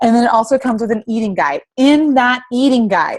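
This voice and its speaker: A somewhat breathy woman speaks at a fairly quick pace, with a dry, close sound and no echo. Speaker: fitness coach. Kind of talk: tutorial. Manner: fast; animated.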